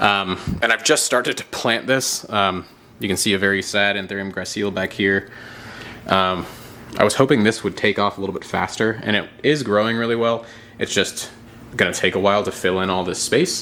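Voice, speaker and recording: Speaking at a fairly quick pace, a man keeps a fairly low pitch and fairly even intonation. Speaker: aquarium and reptile hobbyist youtuber. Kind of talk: casual video tour. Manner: loud; casual, filler-heavy.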